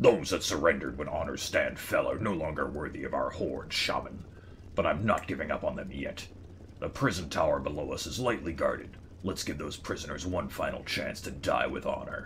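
A man's put-on character voice at a fairly quick pace, with clear background noise. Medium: game stream. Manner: grim, relishing violence.

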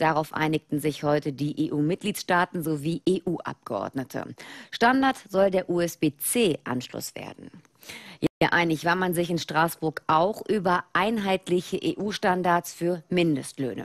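Over a quiet background, a woman talks at a fairly slow pace. Her pitch varies in an ordinary way. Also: fairly low pitch for a woman, dry sound with no echo. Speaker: news anchor. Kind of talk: TV news presentation. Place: studio. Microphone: lapel.

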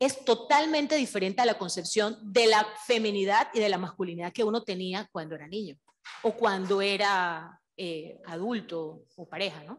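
A woman speaks at a moderate pace with lively intonation and big swings in loudness. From Panama. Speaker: civil registry official, audience member; audience member commenting. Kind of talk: audience comment. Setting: event hall with audience. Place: classroom. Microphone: handheld.

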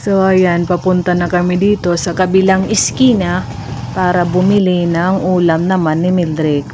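A woman speaks fairly slowly in a fairly low pitch with an Eastern Visayan accent. Noticeable background noise runs underneath. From Eastern Visayas, Leyte. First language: Waray (speaking Tagalog). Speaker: vlogger. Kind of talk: vlog narration. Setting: outdoors.

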